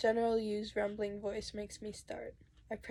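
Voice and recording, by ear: A natural voice reads the passage aloud.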